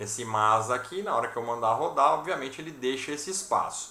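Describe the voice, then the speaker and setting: Male voice with lively intonation, amid noticeable background noise and audible room echo. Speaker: programming teacher. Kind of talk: online class. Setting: video call.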